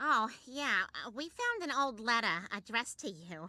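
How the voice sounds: In a cartoonish character voice, a woman speaks at a moderate pace with fairly high pitch and very wide pitch swings.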